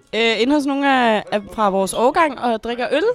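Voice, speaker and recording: Crowd noise fills the background as the voice moves at a moderate pace with lively intonation. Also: woman. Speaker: student. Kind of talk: casual chat.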